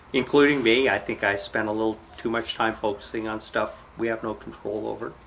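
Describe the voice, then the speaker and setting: A man with a medium-pitched voice and fairly even intonation talks at a fairly quick pace while noticeable background noise sits behind him. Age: 50s. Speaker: software engineer. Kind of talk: casual chat.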